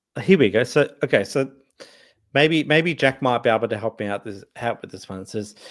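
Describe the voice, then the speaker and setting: A man with an Australian accent at medium pitch and moderate pace, lively intonation, in a very clean recording with a silent background. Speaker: livestream host. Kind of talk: casual chat. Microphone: new microphone.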